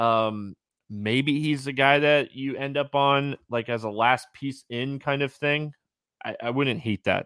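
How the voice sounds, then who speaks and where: Having a plain, everyday voice, a man speaks at medium pitch and a fairly slow pace with fairly even intonation. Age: 30s. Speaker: fantasy sports podcast host. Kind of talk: casual sports analysis chat.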